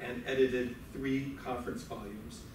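A man speaks at a fairly quick pace over noticeable background noise, with audible room echo. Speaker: host introducing lecturer. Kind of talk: speaker introduction. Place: hall. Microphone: camera far.

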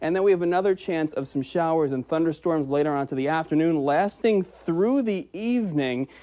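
With an American accent, a man speaks in a high pitch with a dark, mellow tone and ordinary pitch variation. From Upper Midwest US. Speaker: TV meteorologist. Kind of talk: weather forecast. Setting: TV studio. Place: studio.

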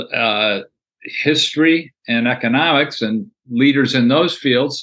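Over a quiet background, a man with an American accent speaks in a bright, sharp tone. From US Midwest. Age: 70s. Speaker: former corporate CEO and leadership author. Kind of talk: interview. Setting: video call. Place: home room.

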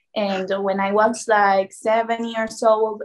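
A woman's voice with fairly even intonation. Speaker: guest. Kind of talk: interview answer. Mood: friendly, smiling. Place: home room. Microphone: video call.

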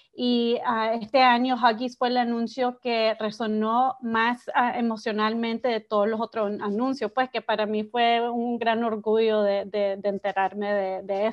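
Delivered at a fairly slow pace with hardly any pauses, the voice stays flat and monotone over a quiet background. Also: woman, fairly high pitch for a woman. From Miami, Nicaraguan family. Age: young. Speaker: advertising executive; guest. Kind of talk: interview. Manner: halting, many fillers. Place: home room. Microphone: video call.

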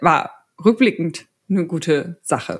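She has a very deep, low pitch for a woman. Nothing can be heard behind her, as the background is quiet. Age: 30s. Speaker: agile coach. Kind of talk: interview answers. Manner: hesitant with many fillers. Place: home room. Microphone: studio mic.

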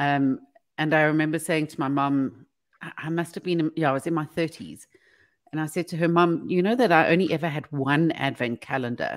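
A woman's very deep, low voice at a fairly quick pace, with ordinary pitch variation over a quiet background. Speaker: radio co-host. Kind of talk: casual chat. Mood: chatty, opinionated. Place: home room. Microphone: video call.

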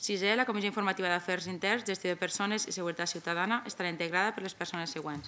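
A woman talks at a very fast pace with fairly even intonation. Her tone is bright and sharp. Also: hardly any pauses. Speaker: council secretary reading motions. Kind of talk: formal reading aloud of official proposals. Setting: municipal council chamber. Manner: formal. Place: meeting room. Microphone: podium.

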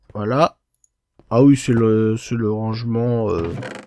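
Speaking at a very slow pace, a man of medium pitch keeps his intonation fairly even, with a dry, close sound and no echo. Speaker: Minecraft YouTuber. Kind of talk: casual gaming commentary. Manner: rambling, self-interrupting, casual.

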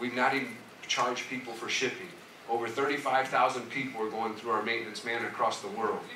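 A man talks at a fairly quick pace with medium pitch. Light background noise and audible room echo can be heard. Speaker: pastor. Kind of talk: sermon. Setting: church with congregation. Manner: animated. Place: church.

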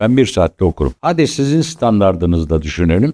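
A man's voice with a dark, mellow tone and lively intonation. The sound is dry and close, with no echo. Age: 70s. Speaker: stage actor and acting teacher. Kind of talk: interview talk to acting students.

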